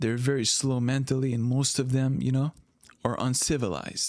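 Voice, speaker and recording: A man's medium-pitched, ordinary speaking voice at a moderate pace, on a very clean recording with a silent background. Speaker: commentator. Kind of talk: comedic commentary.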